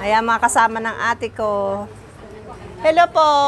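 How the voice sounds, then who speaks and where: A woman speaks at a moderate pace in an animated tone with ordinary pitch variation. Crowd noise sits in the background. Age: 50s. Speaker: family vlogger. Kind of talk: casual vlog narration. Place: street. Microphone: lapel.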